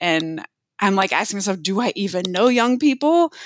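A woman with an American accent speaks at a moderate pace and medium pitch in a normal speaking voice, with a dry, close sound, no echo, and a very clean recording over a silent background. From US South. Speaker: mentoring trainer. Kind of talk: casual interview.

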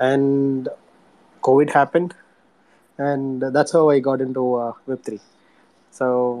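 A man is talking. His tone comes across as dark and mellow. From South India. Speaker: metaverse startup co-founder, former aerospace engineer. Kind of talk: podcast interview. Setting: online audio room. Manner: halting, many fillers and restarts.

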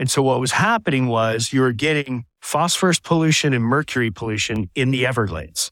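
Recorded very cleanly against a silent background, a man with an ordinary speaking voice talks at a medium pitch with lively intonation, the sound dry and close with no echo. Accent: American. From Southwest Florida. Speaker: fishing guide and nonprofit co-founder. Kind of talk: interview.

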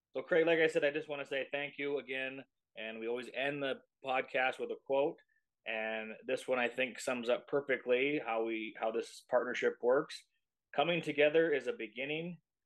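A man speaks in an unremarkable speaking voice, with ordinary pitch variation. His pace is moderate, and the background is quiet. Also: fairly high pitch for a man. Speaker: podcast host. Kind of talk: casual interview.

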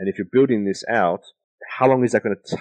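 A man with an Australian accent speaks in a dry, close sound with no echo. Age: 30s. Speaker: business strategy consultant and NFT advisor. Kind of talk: interview.

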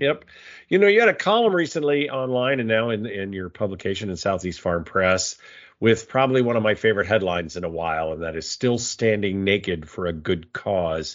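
Using an unremarkable speaking voice, a man talks at a fairly quick pace with a fairly low pitch. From US, Navy brat (South, Cuba, Hawaii). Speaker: agriculture podcast host, editor. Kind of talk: casual interview chat.

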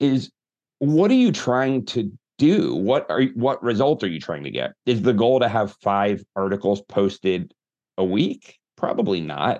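Against a quiet background, a man speaks at a fairly slow pace with vocal fry and very wide pitch swings. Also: medium pitch for a man. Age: 40s. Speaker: marketing agency founder and author. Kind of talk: interview conversation.

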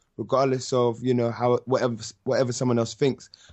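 A man with a London accent speaks at a medium pitch. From London (North London). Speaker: musician and rapper. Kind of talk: interview.

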